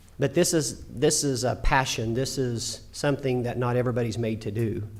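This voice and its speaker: With an American accent, the speaker talks at a moderate pace with ordinary pitch variation, and audible room echo is present. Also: man, medium pitch for a man. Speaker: school board president. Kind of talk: formal speech. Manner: emotional, halting.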